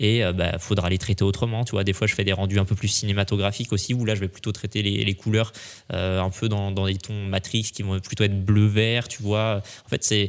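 Here a man talks at a fairly quick pace. His pitch is fairly low, with monotone, flat intonation. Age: 20s. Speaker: photographer. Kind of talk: casual chat. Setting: studio.

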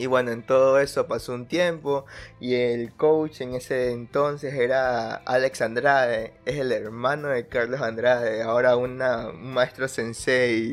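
A man's flat, monotone delivery at a fairly slow pace, with music in the background. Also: medium pitch for a man. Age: 20s. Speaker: podcast host. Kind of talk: solo monologue podcast. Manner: hesitant, repeats words.

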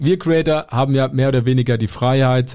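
Intonation stays fairly even as a man speaks at medium pitch. His tone is dark and mellow. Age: 20s. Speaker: podcast co-host and content creator. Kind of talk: casual chat.

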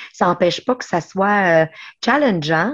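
A woman speaks at a fairly slow pace with a medium pitch and very wide pitch swings. The background is quiet. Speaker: special education teacher. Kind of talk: interview.

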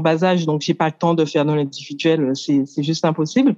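At a moderate pace, a woman speaks in a dark, mellow tone. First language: English (speaking French). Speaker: coach, workshop participant. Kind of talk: group coaching exchange.

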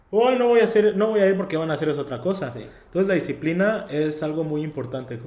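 A man speaks in a dark, mellow tone with ordinary pitch variation. Room echo is audible. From Mexico, Veracruz. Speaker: photographer. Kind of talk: casual interview chat.

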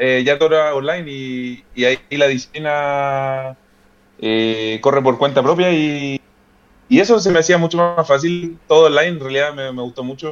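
Moderate pace with fairly even intonation. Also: man, fairly high pitch for a man. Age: 20s. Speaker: fitness content creator and law graduate. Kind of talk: casual interview chat. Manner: halting, many repetitions and fillers.

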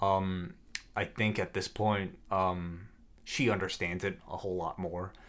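Over a silent background in a very clean recording, a man with a very deep, low pitch speaks fairly slowly in a flat monotone. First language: not English. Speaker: podcaster. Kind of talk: casual chat.

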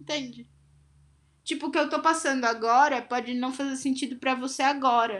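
Speaking at a moderate pace, a woman has a high pitch and fairly even intonation. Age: 20s. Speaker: podcast co-host. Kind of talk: casual chat.

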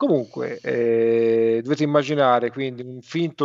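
The sound is dry and close with no echo, over a quiet background. A man speaks in an ordinary speaking voice at a medium pitch and a fairly slow pace, with ordinary pitch variation. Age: 50s. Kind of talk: casual chat.

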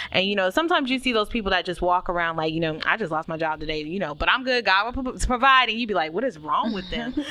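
Over noticeable background noise, a woman of medium pitch speaks at a very fast pace with hardly any pauses, lively intonation and an animated tone. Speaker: podcast co-host. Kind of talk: casual chat.

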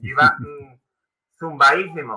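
A man with an Andalusian accent, fairly high-pitched, in a bright, sharp tone with ordinary pitch variation. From Seville, Spain. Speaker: amateur runner and YouTuber. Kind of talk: casual chat.

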